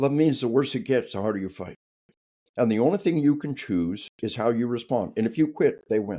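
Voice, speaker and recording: Speaking at a fairly quick pace, a man with an American accent has a dark, mellow tone and lively intonation. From US South. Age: 60s. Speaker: retired army officer and author. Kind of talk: interview. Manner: animated.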